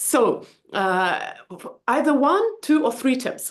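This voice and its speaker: A woman's voice with a non-native accent. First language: not English. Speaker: book club host. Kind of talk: interview.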